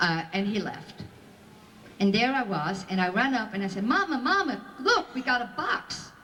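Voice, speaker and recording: Very wide pitch swings from a woman, with audible room echo and noticeable background noise. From Belgium. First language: Flemish, French and Yiddish. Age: 60s. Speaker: Holocaust survivor speaker. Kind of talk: testimony to school audience.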